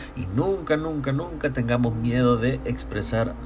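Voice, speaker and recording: A man with a Salvadoran accent speaks at a fairly slow pace. The room echo is audible, and there is noticeable background noise. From El Salvador, San Salvador. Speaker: podcaster. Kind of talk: solo monologue. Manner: halting.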